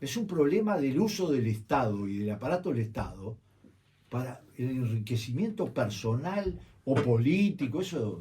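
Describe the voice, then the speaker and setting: A man's somewhat breathy, dark, mellow voice at medium pitch, with very wide pitch swings and a fairly slow pace. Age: 70s. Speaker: journalist and political campaign strategist. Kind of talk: radio interview. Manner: animated.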